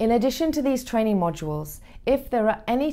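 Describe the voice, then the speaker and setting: A woman in a British accent speaks at a fairly quick pace with lively intonation. Her tone is dark and mellow. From United Kingdom. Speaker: voice actor. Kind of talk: corporate training narration. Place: studio. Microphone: lapel.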